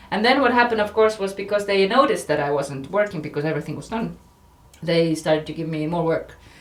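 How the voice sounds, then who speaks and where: A woman speaks very fast in a fairly low pitch, her intonation lively and her Estonian accent clear. Noticeable background noise runs under her voice. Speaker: journalist. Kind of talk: casual chat. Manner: halting.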